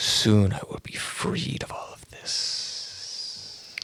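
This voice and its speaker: A man whispers in a put-on character voice at a very slow pace. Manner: whispering.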